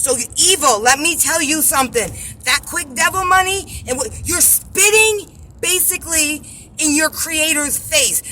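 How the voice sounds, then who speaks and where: Over noticeable background noise, a woman with a high pitch uses a raised, projected voice, speaking at a fairly slow pace with lively intonation. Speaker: religious vlogger. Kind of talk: religious monologue vlog. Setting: in a car. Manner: animated.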